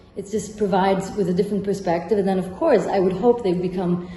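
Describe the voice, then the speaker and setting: The woman's speech races at a very fast pace amid noticeable background noise. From Rome, Italy. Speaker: architect and architecture professor. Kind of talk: interview answer.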